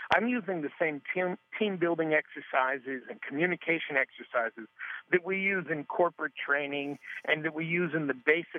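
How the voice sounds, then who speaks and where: Using an unremarkable speaking voice with an American accent, a man speaks at a moderate pace with lively intonation and fairly high pitch. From New York area. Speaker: grief workshop founder and improv comedian. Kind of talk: interview.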